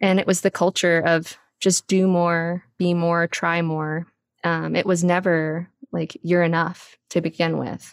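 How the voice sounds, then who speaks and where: A woman with an American accent speaks at a fairly slow pace and a fairly low pitch, in a monotone, flat intonation. The recording is very clean with a silent background, and the sound is dry and close with no echo. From Texas. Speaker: abuse survivor and writer. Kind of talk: casual interview conversation.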